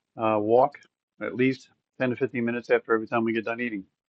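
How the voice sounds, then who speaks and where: The speaker is a man with a medium pitch. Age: 60s. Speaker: health vlogger. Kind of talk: casual vlog talk. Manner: hesitant, many fillers.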